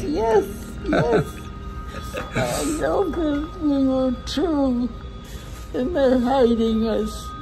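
Over clear music in the background, a woman with a high pitch and lively intonation speaks at a very slow pace with long, frequent pauses. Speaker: interviewee. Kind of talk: interview answer. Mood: emotional, tearful. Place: hall. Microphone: phone near.

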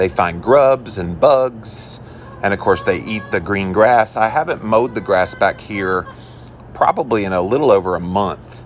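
Music plays in the background as a man talks at a moderate pace, his fairly low pitch showing ordinary pitch variation. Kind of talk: casual vlog chat. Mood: relaxed, admiring. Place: garden. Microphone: phone near.

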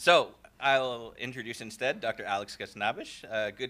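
His tone is sharp and bright. The voice belongs to a man.

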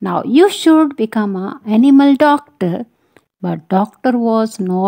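The intonation is lively as a natural voice reads aloud. Behind it, the background stays quiet.

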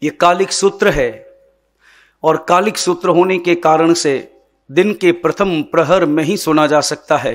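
This man has a high pitch and fairly even intonation. He speaks at a fairly slow pace. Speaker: religious teacher. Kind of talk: sermon. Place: stage. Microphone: podium.

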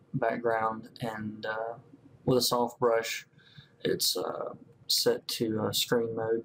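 A man with a Southern US accent speaks at a very slow pace. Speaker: comic book colorist. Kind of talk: tutorial narration over screen recording. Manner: casual, hesitant with many fillers.

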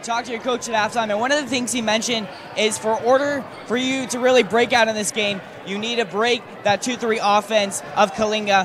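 A man speaks at a fairly quick pace in a high pitch with fairly even intonation. Noticeable background noise runs under his voice. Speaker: sideline reporter. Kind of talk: interviewing coaches and players; interview question. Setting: gym sideline. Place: hall. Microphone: handheld.

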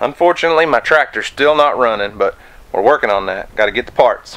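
A man's bright, sharp voice moves through very wide pitch swings. The background is quiet. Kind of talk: casual vlog chat. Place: garden. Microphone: phone near.

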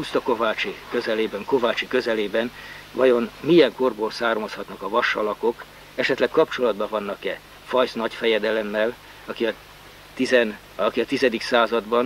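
Over faint background noise, a man speaks at a fairly low pitch with fairly even intonation.

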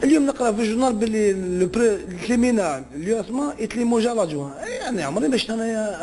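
Over light background noise, a man speaks with a high-pitched voice. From Algeria. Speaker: former footballer. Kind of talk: interview. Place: office. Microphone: handheld.

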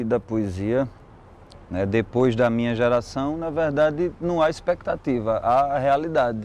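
The pace is fairly slow, with ordinary pitch variation. The sound is dry, with no echo. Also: man. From São José do Egito, Pernambuco, Brazil; Pernambuco, Brazil. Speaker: poet and musician; poet. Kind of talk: interview testimony. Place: street. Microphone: lapel.

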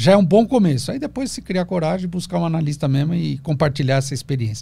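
Speaking at a very fast pace, a man has a dark, mellow tone that sounds somewhat breathy. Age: 50s. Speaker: psychoanalyst. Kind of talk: casual interview. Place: studio. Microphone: studio mic.

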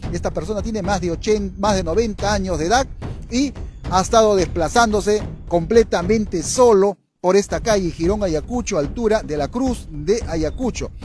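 Music plays in the background as a man speaks at a moderate pace, the sound dry with no echo. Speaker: local news reporter. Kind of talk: local TV news announcement. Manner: hesitant, with filler sounds. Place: street. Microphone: handheld.

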